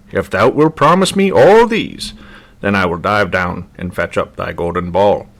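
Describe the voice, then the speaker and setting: At a moderate pace, a man delivers his lines in a put-on character voice. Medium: read story. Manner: archaic, insistent.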